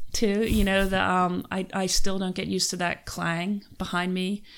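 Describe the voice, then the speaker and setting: A woman talks in a Philadelphia accent with a monotone, flat intonation. The recording is very clean, with a silent background. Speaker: criminology professor. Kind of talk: casual interview.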